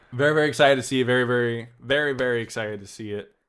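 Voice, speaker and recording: In a very clean recording with a silent background, a man speaks in an animated tone with ordinary pitch variation. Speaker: podcast host, author. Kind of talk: casual commentary podcast. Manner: loud, animated.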